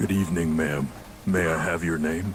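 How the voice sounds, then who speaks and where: A man performs a put-on character voice with a very deep, low pitch. He moves at a fairly quick pace over clear background noise. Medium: video game.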